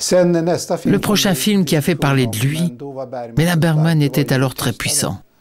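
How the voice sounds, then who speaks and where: There is noticeable background noise. Through it, a man speaks fairly slowly. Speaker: voice-over artist. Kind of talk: documentary voice-over dub. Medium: dub.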